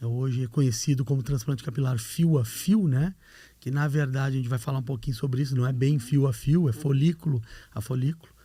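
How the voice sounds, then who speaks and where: In a very clean recording with a silent background, a man with a Rio Grande do Sul accent talks at a fairly quick pace in a medium-pitched, dark, mellow, somewhat breathy voice with ordinary pitch variation. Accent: gaúcho (Rio Grande do Sul). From Rio Grande do Sul, southern Brazil. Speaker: hair transplant doctor, professor. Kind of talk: podcast interview. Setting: studio.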